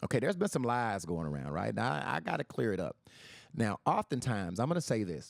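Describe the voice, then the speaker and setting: A man at a fairly low pitch, with vocal fry, very wide pitch swings and a very fast pace, in a dry, close sound with no echo. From US inner city. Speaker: podcast host. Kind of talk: livestream monologue. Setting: Facebook live stream.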